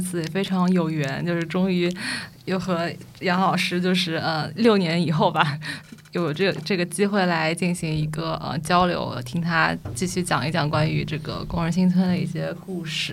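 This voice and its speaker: A woman speaks at a moderate pace in a fairly low voice, her intonation fairly even, with audible room echo. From Shanghai. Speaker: urban designer, guest co-host. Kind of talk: casual chat.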